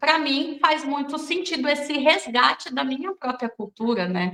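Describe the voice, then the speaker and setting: Projecting a raised voice with a bright, sharp tone, a woman speaks at a fairly slow pace with ordinary pitch variation. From Brazilian Northeast, raised in São Paulo. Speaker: film director. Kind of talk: interview.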